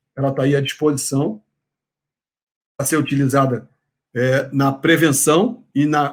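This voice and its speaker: This man's voice sits fairly high. His intonation is fairly even. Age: 60s. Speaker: professor. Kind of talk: lecture. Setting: online congress talk. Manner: hesitant with filler words.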